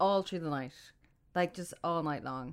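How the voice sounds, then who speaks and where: A woman with an Irish accent on a very clean recording, silent background. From Ireland. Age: 40s. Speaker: freelance digital marketer. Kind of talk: casual chat.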